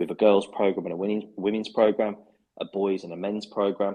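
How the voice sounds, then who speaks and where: With a Birmingham accent, a man talks at a fairly quick pace in a very deep, low pitch and a dark, mellow tone. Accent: Brummie. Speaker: football club head of football. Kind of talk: interview. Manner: hesitant, many fillers and repetitions.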